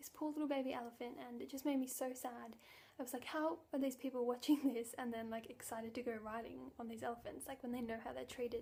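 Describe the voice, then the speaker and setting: A soft-spoken woman talks at a very fast pace in a high pitch. Her tone is dark and mellow, with fairly even intonation. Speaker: vegan vlogger. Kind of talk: casual talk to camera.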